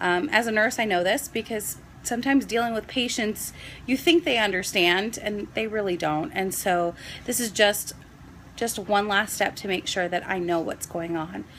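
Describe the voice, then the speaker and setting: A woman's unremarkable speaking voice, medium in pitch, with lively intonation. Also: moderate pace. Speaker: nurse and vlogger. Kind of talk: casual vlog explanation.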